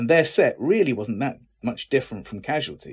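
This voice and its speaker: An English accent at a fairly quick pace. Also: man. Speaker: actor. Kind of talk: interview.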